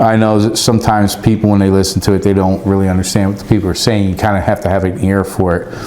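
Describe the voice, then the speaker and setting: A man with an American accent speaks at a very fast pace in a fairly low pitch, his intonation monotone and flat and his loudness very even with hardly any pauses. Noticeable background noise and audible room echo surround him. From US East Coast. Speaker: radio hobbyist YouTuber, former law enforcement. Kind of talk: casual product review vlog.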